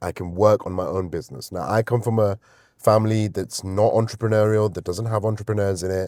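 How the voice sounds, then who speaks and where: On a very clean recording with a silent background, a man talks fairly quickly at a fairly low pitch, his tone dark and mellow and his intonation fairly even. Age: 30s. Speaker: vlogger. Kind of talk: casual vlog monologue. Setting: in a car. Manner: conversational, with fillers.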